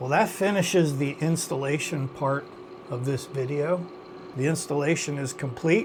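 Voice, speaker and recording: A man with a fairly high pitch talks at a moderate speed while noticeable noise fills the background. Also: ordinary pitch variation. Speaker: DIY home improvement youtuber. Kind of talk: tutorial. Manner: hesitant, filler words.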